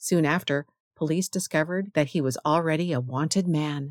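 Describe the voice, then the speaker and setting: An ordinary speaking voice from a woman at a moderate pace, dry and close with no echo, on a very clean recording with a silent background. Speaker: radio host reading history segments for blind listeners. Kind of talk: history radio narration, scripted and read aloud. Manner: steady, even, clear newsreader delivery.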